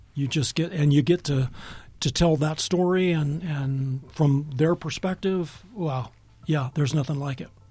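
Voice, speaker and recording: Over music in the background, a man with a fairly high pitch speaks fairly slowly with fairly even intonation. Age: 60s. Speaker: journalist and writer. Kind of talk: radio interview. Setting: radio studio.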